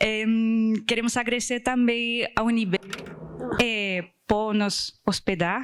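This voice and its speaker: Speaking very slowly, a woman keeps a fairly high pitch, a monotone, flat intonation and a very even loudness throughout. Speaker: conference organizer. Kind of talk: closing thank-you speech.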